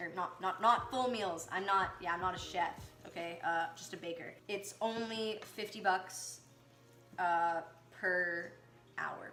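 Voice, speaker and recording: A woman at a medium pitch and a fairly slow pace, with audible room echo and music in the background. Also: ordinary pitch variation. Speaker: amateur baking vlogger. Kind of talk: casual baking tutorial vlog. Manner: rising questioning intonation; hesitant, filler-heavy.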